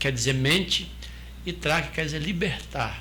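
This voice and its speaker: Audible room echo surrounds a man as he speaks. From southern Brazil. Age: 60s. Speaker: restaurant owner and former Hare Krishna monk. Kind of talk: interview, explaining spiritual teachings. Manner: hesitant, many restarts and fillers.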